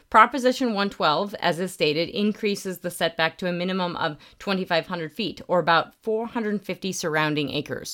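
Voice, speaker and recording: A woman with an American accent speaks in a plain, everyday voice at a fairly quick pace with hardly any pauses, her pitch medium with ordinary variation, on a very clean recording with a silent background. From Northwest Colorado, Moffat County. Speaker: oil and gas consultant and podcast host. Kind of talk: solo explanatory podcast. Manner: frequent fillers and restarts.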